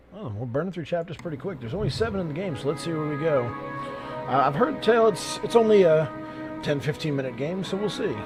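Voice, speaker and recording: Music plays in the background as a man with a fairly high pitch speaks. He talks at a very fast pace with lively intonation. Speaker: gaming YouTuber / let's play host. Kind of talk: casual talk to camera.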